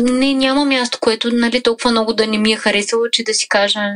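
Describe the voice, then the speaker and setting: The woman's loudness stays very even and her intonation is flat and monotone. She speaks at a moderate pace in a dry, close recording with no echo. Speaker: travel blogger and mother. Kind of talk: interview. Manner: hesitant, many fillers.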